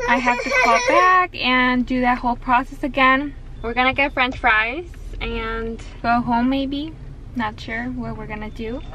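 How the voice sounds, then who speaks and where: The recording has a dry sound with no echo and light background noise. A woman with a high pitch talks at a fairly slow pace with fairly even intonation. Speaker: mother vlogger. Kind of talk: casual vlog chat. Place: car. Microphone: phone near.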